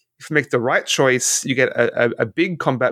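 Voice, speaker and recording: Fairly quick speech in an Australian accent, with ordinary pitch variation and a dry, close sound with no echo. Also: man. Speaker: podcast host. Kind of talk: casual chat.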